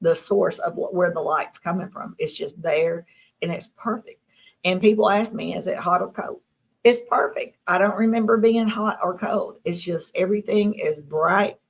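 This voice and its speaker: Here is a woman with a Southern US accent. She speaks at a moderate pace. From US South, Tennessee. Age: 60s. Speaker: abduction contactee. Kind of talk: interview.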